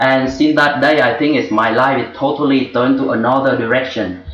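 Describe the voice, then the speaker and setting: A man speaks at a moderate pace with a Vietnamese accent and a medium pitch. Music plays behind him, and the room echo is audible. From Vietnam, rural village. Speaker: former journalist and refugee, webinar student. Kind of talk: personal testimony. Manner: halting.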